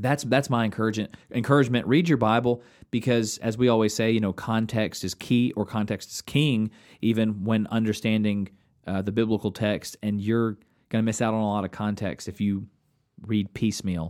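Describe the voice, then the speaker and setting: A man talks at a fairly quick pace in an unremarkable speaking voice, pitched fairly low. His intonation stays fairly even, and the recording is very clean with a silent background. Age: 30s. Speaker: pastor and podcast co-host. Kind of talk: casual chat.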